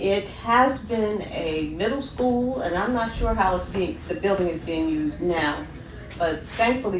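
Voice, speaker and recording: With an American accent, a woman speaks fairly slowly and with lively intonation, amid noticeable background noise and audible room echo. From US Mid-Atlantic, Dover, Delaware. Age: 80s+. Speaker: interviewee, retiree. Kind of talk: interview, personal life story.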